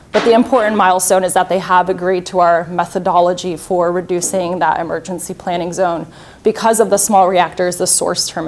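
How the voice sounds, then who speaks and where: A woman with an American accent, fairly low pitch and a fairly quick pace, over light background noise. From Slovakia, raised mainly in Florida, US. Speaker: nuclear industry representative; presenter. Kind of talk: conference presentation. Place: hall.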